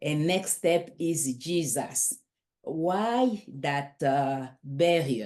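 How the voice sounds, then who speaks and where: Very slowly, a woman with a very deep, low pitch speaks in a dark, mellow tone with lively intonation. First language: not English. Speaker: interviewer. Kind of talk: interview question.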